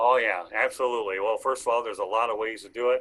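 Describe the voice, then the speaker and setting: Here a man speaks with a Michigan accent. His pace is very fast. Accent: Midwestern US (Michigan). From Metro Detroit, Michigan. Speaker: sports talk show host. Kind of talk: sports talk broadcast. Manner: loud.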